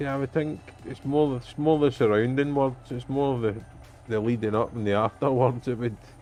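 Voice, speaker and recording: With music in the background, a man with a Scottish accent talks at a moderate pace, his medium pitch carrying fairly even intonation. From Scotland. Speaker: truck driver. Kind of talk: casual gaming livestream talk.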